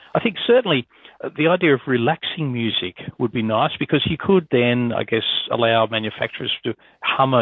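In a normal speaking voice, a man talks at a fairly quick pace. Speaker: motoring journalist interviewee. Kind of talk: casual interview chat.

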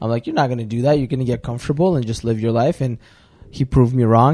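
In a Russian accent, a man speaks at a medium pitch with fairly even intonation and a dark, mellow tone. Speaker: podcast co-host. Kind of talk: casual chat.

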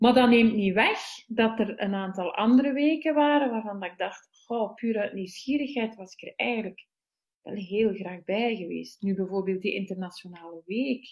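A woman with a fairly high pitch and ordinary pitch variation speaks with big swings in loudness. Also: moderate pace. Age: 40s. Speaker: festival participant. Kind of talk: casual chat. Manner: halting.

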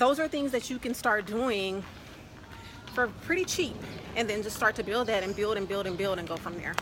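A woman's fairly high voice with lively intonation, fairly quick pace, long and frequent pauses, and noticeable background noise. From Louisiana. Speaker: travel blogger. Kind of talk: interview.

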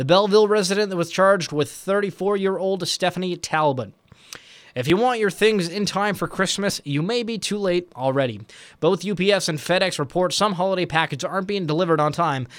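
Recorded very cleanly against a silent background, a man with a high voice talks at a fairly quick pace with lively intonation. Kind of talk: news reading. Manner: formal, brisk, even-paced delivery.

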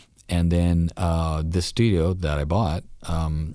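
A man's very deep, low voice in a Canadian accent, dark and mellow in tone, with monotone, flat intonation. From Canada. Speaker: music producer and engineer. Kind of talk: casual interview chat. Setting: recording studio.

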